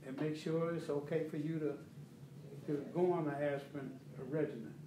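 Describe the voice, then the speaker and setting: Amid noticeable background noise and audible room echo, a man speaks at a fairly high pitch and a moderate pace. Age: 70s. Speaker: health educator. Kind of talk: motivational talk to audience. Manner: animated.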